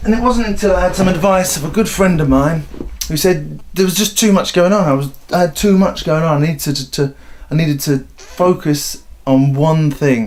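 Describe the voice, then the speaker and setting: A man talks at a fairly quick pace with ordinary pitch variation against noticeable background noise. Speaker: aspiring stand-up comedian. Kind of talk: documentary voiceover.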